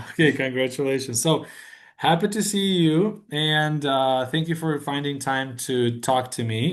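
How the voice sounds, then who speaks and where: This man has an ordinary speaking voice, fairly high in pitch with ordinary pitch variation. He talks at a fairly slow pace. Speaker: language teacher. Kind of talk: casual conversation.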